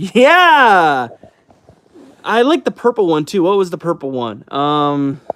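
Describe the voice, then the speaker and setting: A man's very slow pace, broken by long, frequent pauses. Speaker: youtuber answering live chat questions. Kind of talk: casual livestream chat. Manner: halting.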